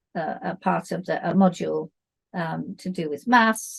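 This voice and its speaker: A woman's fairly low voice with vocal fry, in a British accent, against a quiet background. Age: 70s. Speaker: dance teacher and author. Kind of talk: interview.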